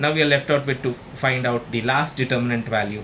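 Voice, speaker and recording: A man speaks with an Indian accent. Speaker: maths tutor. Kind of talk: tutorial.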